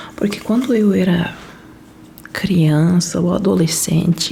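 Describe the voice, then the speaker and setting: Over noticeable background noise, a soft-spoken woman talks at a very slow pace. Her pitch varies in an ordinary way. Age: 30s. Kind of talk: casual talk to camera, relaxed chat. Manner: soft-spoken, slow.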